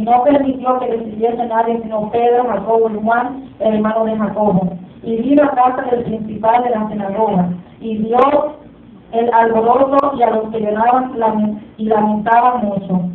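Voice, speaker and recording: This woman's voice sits fairly high, with fairly even intonation at a moderate pace. The recording carries audible room echo. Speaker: preacher. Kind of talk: sermon, scripture reading aloud. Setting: church. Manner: fervent, call-and-response style. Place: church. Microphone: camera far.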